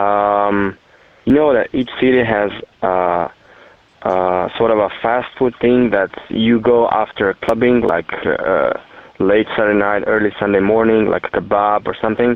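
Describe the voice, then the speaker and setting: Fairly low in pitch, a man with a Slovenian accent speaks at a fairly slow pace, his loudness very even and his intonation fairly even. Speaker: listener caller. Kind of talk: voicemail message. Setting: phone call.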